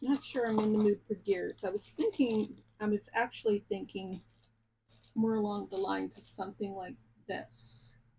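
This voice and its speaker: An American accent marks this woman's medium-pitched, somewhat breathy voice with its dark, mellow tone. She talks at a fairly slow pace with ordinary pitch variation. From Ohio. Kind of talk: casual, chatty.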